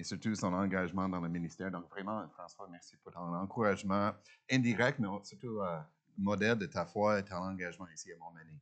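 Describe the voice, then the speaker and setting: With a very deep, low pitch, a man talks at a moderate pace, his loudness swinging a lot against a quiet background. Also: ordinary pitch variation. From Ontario, Canada. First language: English (speaking French). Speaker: guest preacher. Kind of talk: sermon. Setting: church. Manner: halting, many hesitations.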